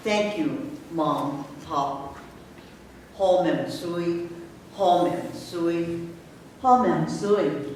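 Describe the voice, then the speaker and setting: Speech at a very slow pace with lively intonation and long, frequent pauses comes through audible room echo and noticeable background noise. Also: man, high pitch for a man. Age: 80s+. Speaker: poet. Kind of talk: poetry reading.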